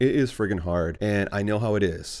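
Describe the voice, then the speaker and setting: On a very clean recording with a silent background, a man talks in an animated tone at a moderate pace. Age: 20s. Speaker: YouTube reviewer. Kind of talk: casual vlog review.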